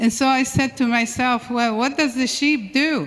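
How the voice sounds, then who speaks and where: Noticeable background noise sits behind this recording. A woman speaks in a high pitch. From Syria. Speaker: church member. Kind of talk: testimony. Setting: church. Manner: halting.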